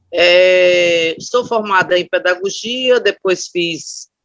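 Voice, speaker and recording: This woman speaks at a medium pitch. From Brazil, Aracaju (Sergipe). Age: 60s. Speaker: retired teacher and education scholar. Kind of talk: oral history interview testimony. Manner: hesitant, with frequent fillers.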